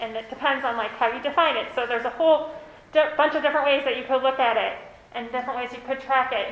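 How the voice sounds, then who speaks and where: A woman with an American accent talks loudly at a very fast pace and high pitch, with fairly even intonation, audible room echo and noticeable background noise. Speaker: consultant. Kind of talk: presentation. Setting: meeting room.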